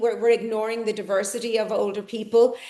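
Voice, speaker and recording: A woman's fairly high-pitched voice comes through with audible room echo. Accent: Irish. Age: 60s. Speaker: conference speaker, ageing researcher. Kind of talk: conference talk.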